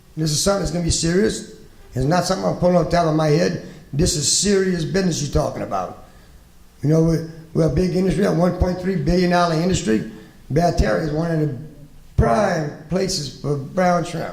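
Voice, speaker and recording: High-pitched male speech at a fairly quick pace, ordinary pitch variation, noticeable background noise and audible room echo. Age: 60s. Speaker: shrimp fisherman, task force representative. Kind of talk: panel discussion. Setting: conference panel with audience. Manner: impassioned.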